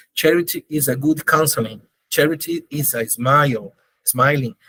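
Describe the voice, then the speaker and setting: Dry and close with no echo, a man with a Brazilian Portuguese accent speaks fairly slowly in a bright, sharp tone with ordinary pitch variation. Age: 50s. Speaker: charity organization leader. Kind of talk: interview. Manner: halting, searching for words.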